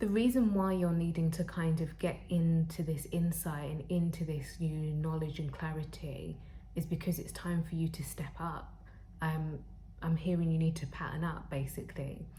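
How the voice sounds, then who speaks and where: A woman with a very deep, low pitch and a dark, mellow tone speaks at a moderate pace in a somewhat breathy voice, her intonation fairly even and audible room echo around her. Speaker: tarot reader; spiritual counselor. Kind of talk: tarot reading to camera. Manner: halting, with fillers.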